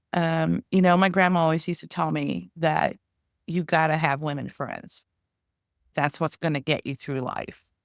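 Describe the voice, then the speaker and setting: A woman speaks at a very deep, low pitch with vocal fry and fairly even intonation. The recording is very clean, dry and close, with a silent background and no echo. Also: moderate pace. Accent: American. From Kansas. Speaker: podcast co-host. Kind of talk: casual chat.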